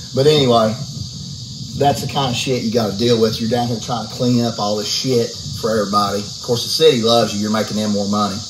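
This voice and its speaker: Noticeable background noise runs behind a man with an American accent who speaks very fast at a medium pitch. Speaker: house flipper vlogger. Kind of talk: casual rant vlog. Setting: outdoors. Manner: animated, irritated.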